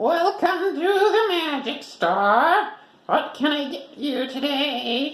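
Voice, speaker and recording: A put-on character voice, high-pitched and very slow, with a slight echo. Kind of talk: bedtime story. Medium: read story.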